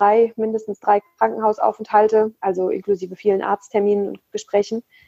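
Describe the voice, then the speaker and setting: Over a dry, close sound with no echo, a woman at a medium pitch speaks fairly quickly in a dark, mellow tone with monotone, flat intonation. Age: 30s. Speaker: Ayurveda blogger and nutrition consultant. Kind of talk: personal interview testimony. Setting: video call. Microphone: poor audio quality.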